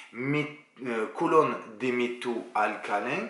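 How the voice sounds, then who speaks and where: Speaking very slowly with a southern French accent, a man with a medium pitch and ordinary pitch variation is heard over noticeable background noise and audible room echo. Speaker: chemistry teacher. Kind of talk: lecture. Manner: casual, relaxed.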